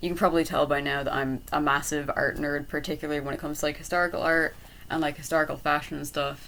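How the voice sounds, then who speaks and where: A woman with an Irish accent speaks at a very fast pace. Her pitch is very deep and low, her intonation monotone and flat. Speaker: art and design college applicant. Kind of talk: casual talk to camera. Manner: hesitant, many fillers.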